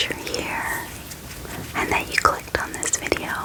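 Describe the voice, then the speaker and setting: A woman's relaxed whispering over noticeable background noise. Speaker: ASMR creator and book reviewer. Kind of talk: bookish ASMR, casual talk to camera. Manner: soft, whispery, relaxed.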